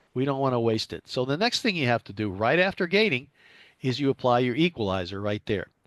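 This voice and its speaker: A man's fairly quick, lively speech, dry and close with no echo, against a quiet background. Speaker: amateur radio operator, presenter on SSB audio. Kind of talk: technical presentation.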